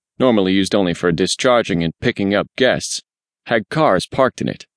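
The delivery has a dramatic tone and lively intonation at a fairly quick pace. The sound is dry and close, with no echo. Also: man. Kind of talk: scripted audiobook narration, first-person mystery. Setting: studio. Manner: dramatic, measured, suspenseful.

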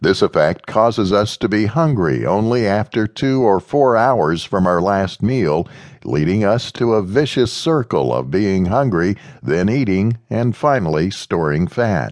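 Very even loudness at a fairly slow pace, an unremarkable speaking voice. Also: man, fairly low pitch for a man, lively intonation. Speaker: audiobook narrator. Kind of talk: audiobook narration. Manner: even, measured, instructional delivery; formal and expository, read steadily.

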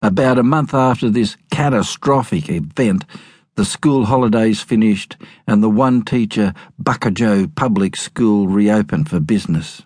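This man has a fairly low pitch and an Australian accent, with ordinary pitch variation. His tone is dramatic and his loudness very even. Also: moderate pace. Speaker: audiobook narrator. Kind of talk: dramatic narration of memoir, audiobook reading aloud. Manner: storytelling, wry, dramatic.

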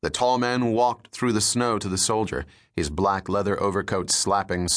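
A natural voice reading text aloud

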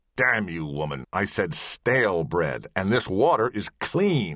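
In a put-on character voice, a man growls at a very deep, low pitch with very wide pitch swings and a fairly slow pace. The sound is dry and close, with no echo. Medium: read story. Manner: snarling, irritable.

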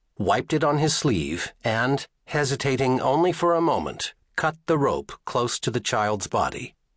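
A man with a normal speaking voice talks at a fairly slow pace with a medium pitch and lively intonation. The sound is dry and close with no echo, over a quiet background. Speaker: audiobook narrator. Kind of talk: dramatic audiobook narration of a novel's opening scene. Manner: measured, suspenseful storytelling pace building tension.

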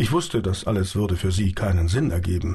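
Somewhat breathy, a man speaks in a calm, dramatic tone. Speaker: audiobook narrator. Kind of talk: dramatic audiobook narration, first-person reading of a sci-fi novel. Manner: vivid, dramatic, shifting between wry confiding and tense; calm, measured storyteller pace with quoted dialogue voiced in character.

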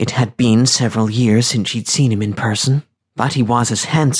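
A natural reading voice with fairly even intonation sounds over a quiet background.

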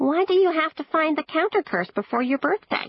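A put-on character voice, female-sounding, extremely high-pitched and fairly quick. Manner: curious, questioning.

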